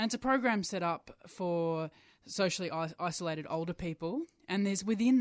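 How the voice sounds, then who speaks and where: A woman talks at a fairly quick pace in an ordinary speaking voice, fairly low in pitch with ordinary pitch variation. The sound is dry and close, with no echo. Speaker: LGBTI charity chief executive. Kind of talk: radio interview. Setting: radio studio. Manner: earnest, indignant.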